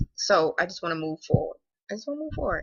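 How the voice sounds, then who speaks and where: A woman speaks at a very fast pace. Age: 30s. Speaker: vlogger sharing weight loss surgery journey. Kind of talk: casual vlog monologue. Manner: animated.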